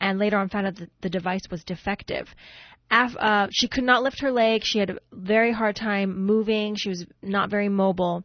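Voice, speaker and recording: At a moderate pace, a woman speaks in a plain, everyday voice with a medium pitch. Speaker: radio co-host. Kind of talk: radio show hosting. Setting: radio studio.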